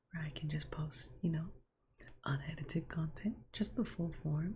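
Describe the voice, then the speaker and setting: This soft-spoken voice moves at a moderate pace. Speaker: ASMR creator. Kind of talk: ASMR softly spoken gameplay commentary.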